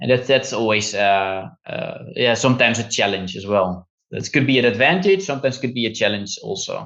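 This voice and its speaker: With a Dutch accent, a man talks at a fairly quick pace, using lively intonation and hardly any pauses. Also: medium pitch for a man. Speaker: physiotherapist and osteopath. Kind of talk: interview. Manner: halting.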